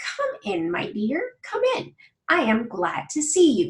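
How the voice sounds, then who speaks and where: Pitch jumps around very widely. The delivery is fairly slow. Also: woman, high pitch for a woman. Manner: sweet, welcoming.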